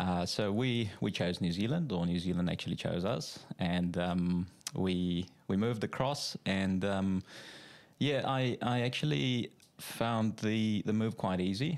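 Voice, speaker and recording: A fairly low-pitched man with a South African accent, fairly slow in pace, very even in loudness, with ordinary pitch variation, in a very clean recording with a silent background. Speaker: financial adviser. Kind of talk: casual interview. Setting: studio.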